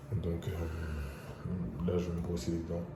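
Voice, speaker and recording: A speaker with a non-native accent uses fairly even intonation, with audible room echo and noticeable background noise. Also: man. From Senegal. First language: English (speaking French). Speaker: vlogger. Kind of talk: casual vlog.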